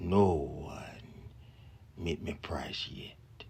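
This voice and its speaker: A man whispers. He uses a put-on character voice. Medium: read story.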